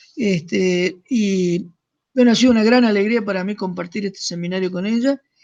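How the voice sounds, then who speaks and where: The man's voice is high in pitch. He keeps a moderate pace. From Argentina, Córdoba province (Deán Funes). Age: 60s. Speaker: seminar teacher. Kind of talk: casual chat.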